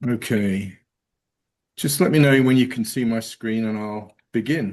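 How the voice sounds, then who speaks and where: The speaker talks at a fairly slow pace with an English accent. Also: man, medium pitch for a man, ordinary pitch variation. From England. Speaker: geospatial and AI consultant. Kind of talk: presentation.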